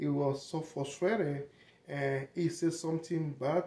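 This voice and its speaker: A man with a French-speaking African accent talks in a fairly even intonation. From Togo, grew up in the south. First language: French and Togolese languages. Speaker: vlogger. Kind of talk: casual monologue. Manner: halting.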